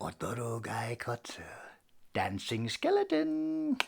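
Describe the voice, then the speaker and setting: A man uses a put-on character voice with a playful tone. He speaks at a fairly slow pace. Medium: stage play. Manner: playful, punning, eerie.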